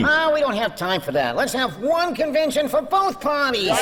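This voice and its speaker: A high-pitched, put-on character voice comes through over loud background noise. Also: moderate pace. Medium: audio drama. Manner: casual, folksy, ungrammatical.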